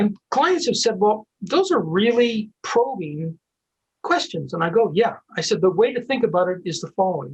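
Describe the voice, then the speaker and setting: A man with a high pitch and lively intonation speaks at a moderate pace. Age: 60s. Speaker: recruiter and author. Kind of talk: interview conversation.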